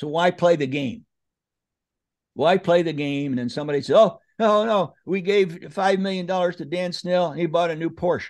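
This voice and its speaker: Against a quiet background, a man talks at a moderate pace with a high pitch. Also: ordinary pitch variation. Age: 80s+. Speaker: podcaster and presidential candidate. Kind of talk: casual chat. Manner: animated.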